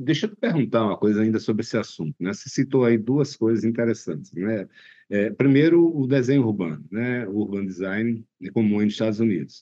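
His tone is dark and mellow. The man speaks at a fairly quick pace, his intonation lively. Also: medium pitch for a man. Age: 30s. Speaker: podcast host. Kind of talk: interview.

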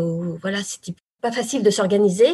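Somewhat breathy speech at a fairly slow pace with ordinary pitch variation. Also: woman. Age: 40s. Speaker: former journalist turned real estate agent. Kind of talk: interview about her career change.

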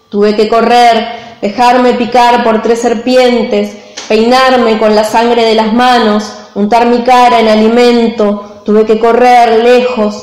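Very slowly, a woman talks in a fairly high pitch with monotone, flat intonation. Noticeable background noise and audible room echo fill the recording. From San Juan, Argentina. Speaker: poet. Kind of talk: poetry reading.

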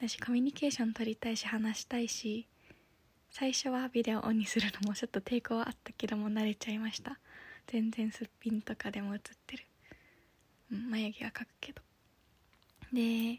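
In a dry, close sound with no echo, a woman with a fairly high pitch speaks in a monotone, flat way, somewhat breathy and with long, frequent pauses. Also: moderate pace. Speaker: podcaster and office worker. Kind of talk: casual solo podcast monologue. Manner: halting.

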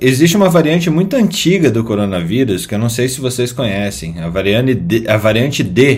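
Room echo is audible around a man speaking at a moderate pace. His medium pitch swings very widely. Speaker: medical news podcast host. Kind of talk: casual chat.

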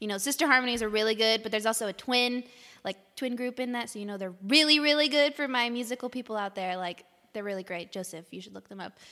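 Speaking at a very fast pace, a woman with a fairly high pitch and a bright, sharp tone shows ordinary pitch variation and big swings in loudness. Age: 20s. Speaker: young adult missions worker. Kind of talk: casual chat. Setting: recorded over coffee.

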